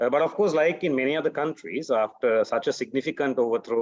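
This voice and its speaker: A man with a Sri Lankan accent at medium pitch and fairly quick pace, with dry, close sound with no echo and a quiet background. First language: Sinhala. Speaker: human rights defender. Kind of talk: panel talk. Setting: webinar. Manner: halting, many fillers.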